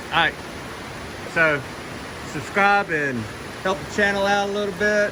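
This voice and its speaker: With an American accent, a man uses a raised, projected voice at a high pitch with ordinary pitch variation, amid noticeable background noise and audible room echo. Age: 60s. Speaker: retired vlogger. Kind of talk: casual vlog narration.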